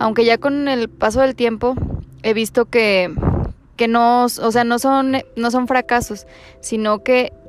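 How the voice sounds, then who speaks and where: Noticeable background noise sits behind this woman's voice. Her pitch is fairly high. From Mexico, Durango. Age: 20s. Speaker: psychologist. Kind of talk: casual chat.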